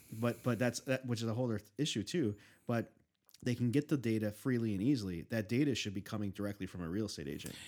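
A man speaks at a very fast pace with an American accent. His pitch is medium, with ordinary pitch variation. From Chicago, US Midwest. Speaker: podcast guest. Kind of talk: casual chat. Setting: studio.

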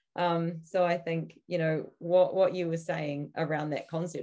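Speaking at a moderate pace, a woman with a New Zealand accent has a very deep, low pitch. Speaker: podcast co-host. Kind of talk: casual interview conversation.

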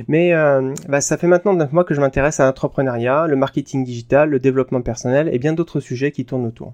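A man talks in a normal speaking voice, fairly high in pitch with ordinary variation. The sound is dry and close, with no echo. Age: 30s. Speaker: podcast host, software engineer. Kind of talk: solo podcast monologue. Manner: casual, with fillers.

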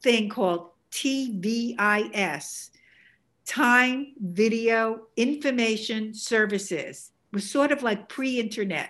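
A woman speaks at a very slow pace with a New York accent, her pitch fairly high. Her pitch varies in an ordinary way over a quiet background. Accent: Bronx New York. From New York, the Bronx. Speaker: artist. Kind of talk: interview conversation.

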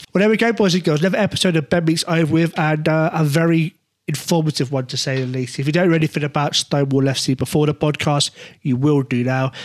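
At a very fast pace, someone speaks with an English accent and ordinary pitch variation in a dry, close sound with no echo. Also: man, fairly high pitch for a man. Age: 30s. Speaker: podcast host. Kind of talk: interview.

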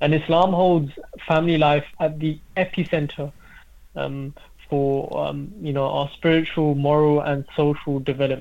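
A man's fairly high-pitched, normal speaking voice at a moderate pace, with fairly even intonation. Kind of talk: religious discussion on radio.

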